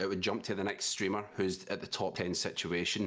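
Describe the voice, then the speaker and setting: A man speaks at a moderate pace in a Scottish accent. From Scotland. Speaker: streamer, content creator. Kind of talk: casual podcast chat. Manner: animated.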